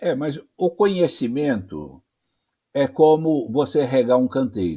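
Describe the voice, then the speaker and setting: A man with a medium pitch and a dark, mellow tone speaks at a very slow pace with lively intonation. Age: 80s+. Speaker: journalist and spiritist speaker. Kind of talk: religious discussion interview. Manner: halting, repeats words.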